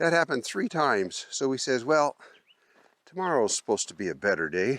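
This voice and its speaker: Heard on a very clean recording with a silent background and a dry, close sound with no echo, a man of medium pitch shows vocal fry and very wide pitch swings. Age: 70s. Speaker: RV travel vlogger. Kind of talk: casual vlog narration.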